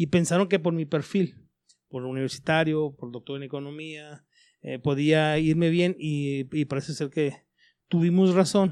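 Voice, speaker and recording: Over a quiet background, a man with an ordinary speaking voice talks at a fairly slow pace, his pitch fairly high and his intonation fairly even. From Chihuahua, Mexico (Parral). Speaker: politician. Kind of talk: interview.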